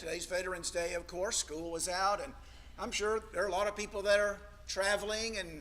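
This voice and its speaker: A man with an American accent speaks in a raised, projected voice at a fairly quick pace, his pitch high for a man and his intonation fairly even, with audible room echo. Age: 60s. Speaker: preacher. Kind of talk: sermon. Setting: church.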